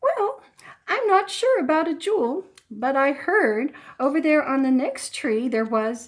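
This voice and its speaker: A woman does a put-on character voice at high pitch and a moderate pace. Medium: read story.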